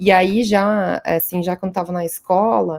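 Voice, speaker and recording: A woman with a Rio Grande do Sul accent, medium-pitched, dark and mellow in tone, with fairly even intonation at a moderate pace. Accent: gaúcho (Rio Grande do Sul). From southern Brazil, interior of Rio Grande do Sul. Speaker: astrophysicist and researcher. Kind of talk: podcast interview. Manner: hesitant, many fillers.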